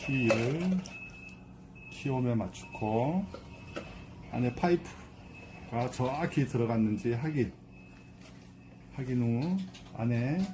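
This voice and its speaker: At a very slow pace with long, frequent pauses, a man speaks at medium pitch with lively intonation. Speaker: amateur voice actor. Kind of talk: product how-to instructions. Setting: outdoors with traffic noise.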